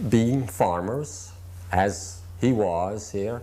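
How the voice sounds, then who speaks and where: A man talks with ordinary pitch variation. There is audible room echo around his voice. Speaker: Italian-American immigrant. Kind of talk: interview testimony.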